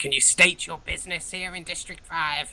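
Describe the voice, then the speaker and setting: A put-on character voice at a moderate pace. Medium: actual play. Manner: hesitant, stammering.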